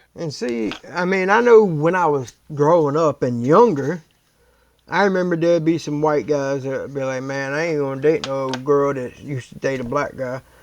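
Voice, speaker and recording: With an American accent, a man speaks at a moderate pace in a plain, everyday voice. His pitch is fairly high, with ordinary pitch variation. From US East Coast. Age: 40s. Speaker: YouTube reaction host. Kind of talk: casual reaction commentary.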